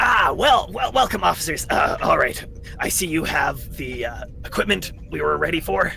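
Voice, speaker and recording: A man adopts a put-on character voice, delivering lines at a moderate speed with clear background noise behind him. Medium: actual play. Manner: patient, diplomatic.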